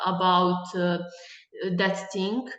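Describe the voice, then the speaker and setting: A woman speaks with a Bosnian accent. Room echo is audible. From Bosnia and Herzegovina. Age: 20s. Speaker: conceptual artist and gallery director. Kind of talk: guest lecture discussion. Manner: halting, many hesitations.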